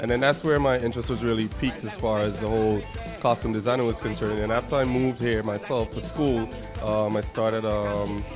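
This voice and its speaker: A man's fairly low voice at a fairly quick pace, with fairly even intonation and clear music in the background. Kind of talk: interview answer. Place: hall. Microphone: handheld.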